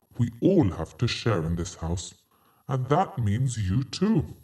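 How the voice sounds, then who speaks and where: A man puts on a character voice at a medium pitch, speaking at a fairly slow pace. His pitch swings very widely. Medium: read story.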